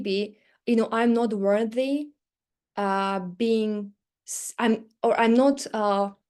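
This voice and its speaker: Against a quiet background, a woman with a non-native accent speaks fairly high in pitch with a dark, mellow tone. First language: not English. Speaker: teaching business coach. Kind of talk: live webinar training. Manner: fast when excited.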